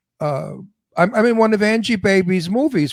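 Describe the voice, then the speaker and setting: A man's voice in a New York accent, with ordinary pitch variation at a fairly slow pace, on a very clean recording with a silent background and a dry, close sound with no echo. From New York (Brooklyn). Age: 80s+. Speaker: actor. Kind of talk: casual chat. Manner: animated.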